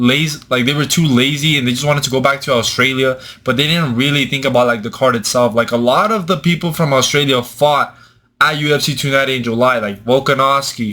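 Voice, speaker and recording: In a Mexican accent, a bright, sharp voice moves at a fairly quick pace on a very clean recording with a silent background. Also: man. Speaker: MMA commentator, YouTuber. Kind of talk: casual commentary. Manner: animated.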